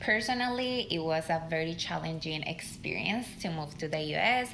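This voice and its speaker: Amid audible room echo and noticeable background noise, a woman with a fairly low pitch talks at a moderate pace with lively intonation. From Colombia. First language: Spanish. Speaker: leadership podcast co-host. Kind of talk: podcast conversation.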